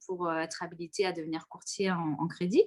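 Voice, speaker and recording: A woman with an ordinary speaking voice, at a fairly quick pace with fairly even intonation. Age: 30s. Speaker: insurance and real estate entrepreneur. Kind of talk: casual interview. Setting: online live stream.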